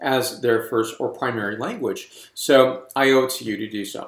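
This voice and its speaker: Medium pitch in a male voice. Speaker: wine reviewer. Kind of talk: product review. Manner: fast.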